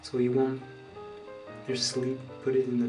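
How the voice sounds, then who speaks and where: A man speaks at a moderate pace in a monotone, flat intonation. Clear music plays in the background. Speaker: makeup tutorial maker. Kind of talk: casual makeup tutorial talk to camera. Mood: friendly, relaxed. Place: home room. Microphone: phone near.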